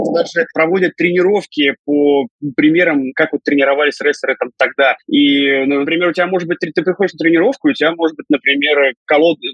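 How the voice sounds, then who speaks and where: A man's unremarkable speaking voice, fairly high in pitch, with ordinary pitch variation and a fairly quick pace. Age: 30s. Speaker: professional wrestler and commentator. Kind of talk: casual interview.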